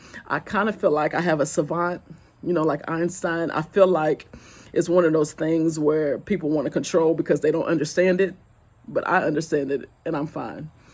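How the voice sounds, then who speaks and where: A woman with a Southern US accent talks at a fairly low pitch, her intonation fairly even. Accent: Southern drawl. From US South, Goose Creek, South Carolina. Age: 40s. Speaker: vlogger. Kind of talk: casual chat.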